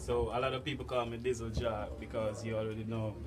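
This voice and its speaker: With music in the background and audible room echo, a man talks in a Jamaican accent. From Jamaica, St. Thomas. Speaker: dancehall artist. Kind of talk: interview.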